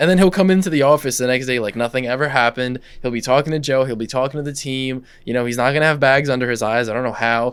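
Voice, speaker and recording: Speaking very fast with hardly any pauses, a man at a medium pitch shows ordinary pitch variation. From Russia. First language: Russian. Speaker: podcast co-host and company executive. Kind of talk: casual chat.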